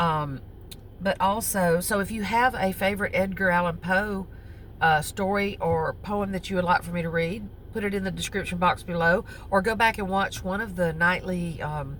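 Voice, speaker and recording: In a Southern US accent, the speaker talks at a moderate pace with fairly even intonation. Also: woman, medium pitch for a woman. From US South. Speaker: crochet vlogger. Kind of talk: casual chat. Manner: halting, with many fillers.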